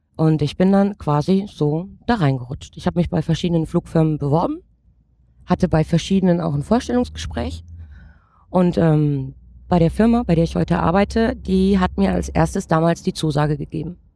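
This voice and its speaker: Female speech at a moderate pace, broken by long, frequent pauses. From Saxony, Ore Mountains (Erzgebirge). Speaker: flight attendant. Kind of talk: interview.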